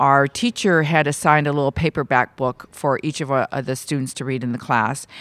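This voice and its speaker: A woman speaks with ordinary pitch variation. The sound is dry and close with no echo. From California, Bay Area. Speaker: civil rights advocate. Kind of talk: interview.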